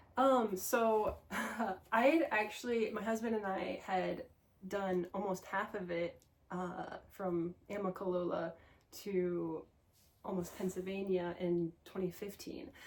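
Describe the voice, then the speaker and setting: Amid noticeable background noise, a woman speaks at a very slow pace in a medium pitch with ordinary pitch variation. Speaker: thru-hiker. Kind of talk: casual interview chat.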